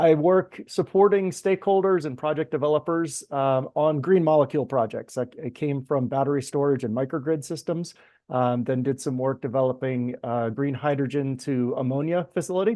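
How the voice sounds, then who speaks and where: A man's normal speaking voice with an American accent, fairly high in pitch, at a moderate pace with ordinary pitch variation and hardly any pauses. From US East Coast. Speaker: energy project consultant. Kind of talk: webinar self-introduction.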